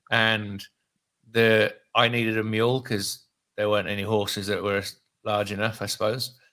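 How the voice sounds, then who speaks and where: In a British accent, a man speaks at medium pitch and a moderate pace. The recording is very clean, with a silent background. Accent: British, often taken for Australian. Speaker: real estate investor. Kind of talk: casual chat. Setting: live stream.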